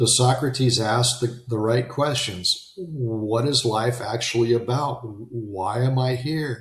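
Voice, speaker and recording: This man's voice sits at a medium pitch. It varies in pitch in an ordinary way. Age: 60s. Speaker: self-help podcast host. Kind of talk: live-streamed motivational monologue. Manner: animated; casual, with filler words.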